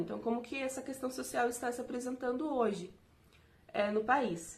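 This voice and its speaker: This woman's voice is high in pitch and set at a moderate pace. Audible room echo lingers in the space. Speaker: teaching intern. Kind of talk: recorded video lecture. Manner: halting, many fillers.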